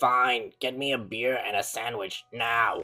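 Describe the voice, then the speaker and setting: A put-on character voice, raspy and pitched low-to-middle, moves at a fairly slow pace. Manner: menacing, demanding.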